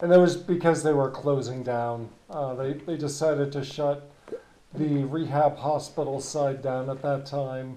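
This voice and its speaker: In a New England accent, the speaker goes at a fairly slow pace with monotone, flat intonation, amid noticeable background noise and audible room echo. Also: man, fairly high pitch for a man. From New Hampshire. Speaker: podcast host, former rehab hospital worker. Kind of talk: interview.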